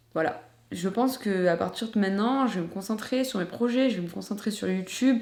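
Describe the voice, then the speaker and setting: The woman's pitch is fairly high. Audible room echo surrounds her voice. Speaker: YouTuber. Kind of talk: personal vlog confession. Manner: fast; hesitant.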